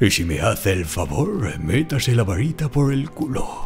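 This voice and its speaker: A man does a put-on character voice at a medium pitch. Clear music plays in the background. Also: moderate pace. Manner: grumpy, pompous, swearing.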